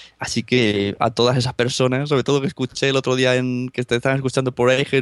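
A man talks at a very fast pace in a Spanish accent, with hardly any pauses. His intonation is monotone and flat, and the sound is dry and close with no echo. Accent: Spanish (Spain). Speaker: podcaster. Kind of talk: casual chat. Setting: remote call from Spain, late at night.

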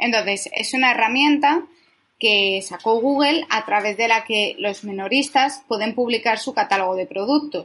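Speaking at a fairly slow pace, a woman uses an ordinary speaking voice with a fairly high pitch and ordinary pitch variation. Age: 20s. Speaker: digital marketing specialist. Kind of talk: interview.

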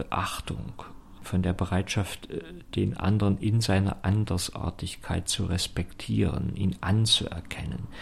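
A man's whisper at a very slow pace. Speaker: theologian and political candidate. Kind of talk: radio interview. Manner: hesitant with filler sounds.

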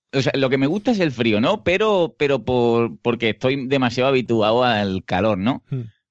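A man with an Andalusian accent speaks at a moderate pace and medium pitch, his loudness very even, his intonation lively, and hardly any pauses. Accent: Andalusian Spanish (Seville). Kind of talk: casual chat.

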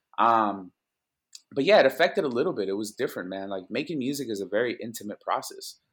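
Speaking at a very fast pace with lively intonation, a man with a Spanish accent has a medium pitch, captured on a very clean recording with a silent background. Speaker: music producer. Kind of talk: casual interview chat. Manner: conversational, relaxed.

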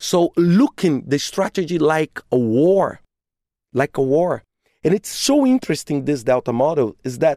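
A woman's very deep, low voice with a dark, mellow tone, lively intonation and a non-native accent. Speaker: podcast host. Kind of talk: solo podcast monologue.

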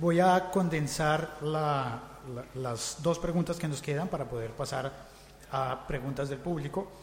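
Over noticeable background noise, a man with a Latin American accent speaks at a fairly slow pace, his fairly high voice held to a fairly even intonation. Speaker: podcaster, panel moderator. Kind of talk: panel discussion moderation.

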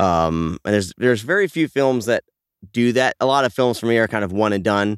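On a very clean, dry, close recording with a silent background and no echo, a man with an unremarkable speaking voice at medium pitch talks at a fairly quick pace with lively intonation and very even loudness. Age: 40s. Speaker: podcast host. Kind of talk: casual chat.

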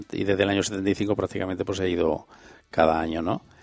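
A man's very deep, low voice moves at a fairly quick pace, the intonation staying fairly even. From Andalusia, Spain. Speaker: president of a regional cultural association. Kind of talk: radio interview.

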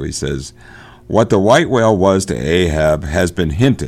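His pitch is very deep and low, with vocal fry. He keeps a moderate pace. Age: 60s. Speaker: podcast host. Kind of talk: casual discussion of a book. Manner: informal, halting, chatty.

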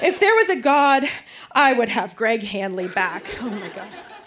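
High-pitched woman at a moderate pace, with very wide pitch swings, over noticeable background noise. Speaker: guest reader. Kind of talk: reading aloud. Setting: stage with audience.

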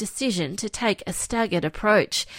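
A woman with an ordinary speaking voice talks at a moderate pace and medium pitch, her intonation lively. The very clean recording has a silent background and a dry, close sound with no echo. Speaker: news reporter. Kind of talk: news report.

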